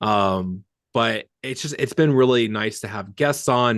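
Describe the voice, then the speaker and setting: A man's medium-pitched voice with ordinary pitch variation, in a dry, close sound with no echo. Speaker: fitness coach and podcast host. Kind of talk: casual chat. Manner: fast.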